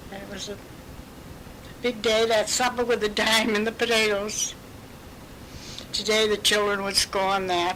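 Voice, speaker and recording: Monotone, flat intonation from a fairly high-pitched woman at a moderate pace, with long, frequent pauses, big swings in loudness and noticeable background noise. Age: 80s+. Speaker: great-grandmother sharing memories. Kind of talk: oral history interview.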